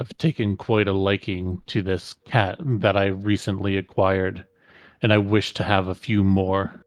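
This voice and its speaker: A man's put-on character voice at a moderate pace and fairly low pitch. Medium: actual play. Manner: imperious, dismissive.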